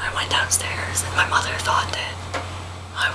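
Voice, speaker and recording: Whispering at a moderate pace, with noticeable background noise. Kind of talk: ASMR book reading and casual chat. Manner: whispered, soft-spoken.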